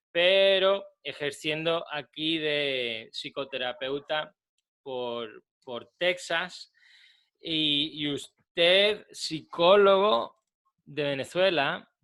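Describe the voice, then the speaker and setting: This man speaks very slowly, his pitch fairly high for a man. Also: ordinary pitch variation. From Spain, Málaga. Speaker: psychotherapist. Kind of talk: interview.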